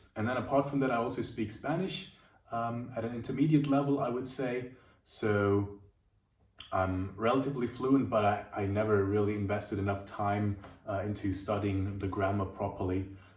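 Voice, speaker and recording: This man speaks in a German accent at a moderate pace, with audible room echo. His pitch is fairly low, with ordinary pitch variation. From Germany, Munich. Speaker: language teacher. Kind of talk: video monologue answering questions. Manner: halting, many fillers and repeats.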